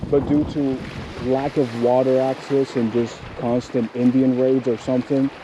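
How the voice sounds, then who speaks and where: A man speaks at a fairly slow pace in a medium pitch, with noticeable background noise. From Cuba, Camagüey. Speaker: vlogger. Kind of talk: casual chat. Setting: outdoors.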